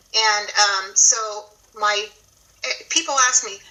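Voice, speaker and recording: A high-pitched woman speaks at a very slow pace. Noticeable background noise is present. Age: 60s. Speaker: guest sharing carnivore diet experience. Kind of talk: testimony.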